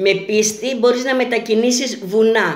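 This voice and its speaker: A woman speaks, and the room echo is audible. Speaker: self-styled futurologist and prophet. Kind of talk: monologue video message with prophecies. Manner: earnest, repetitive.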